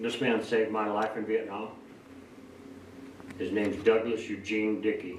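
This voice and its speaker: A man speaks at a moderate pace in a fairly low, monotone voice with long, frequent pauses. Noticeable background noise and audible room echo fill the recording. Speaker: Vietnam war veteran. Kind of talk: interview testimony.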